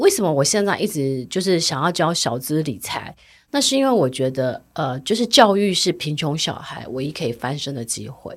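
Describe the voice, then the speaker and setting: A woman with a very deep, low pitch speaks at a moderate pace with hardly any pauses and very wide pitch swings, on a very clean recording with a silent background. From Taiwan (Jiufen, New Taipei). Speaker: personal finance author. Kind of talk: interview.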